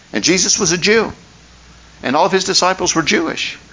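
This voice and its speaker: There is noticeable background noise as a man talks at a high pitch. He keeps a moderate pace with ordinary pitch variation. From West Virginia, McDowell County. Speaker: pastor. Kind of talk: sermon.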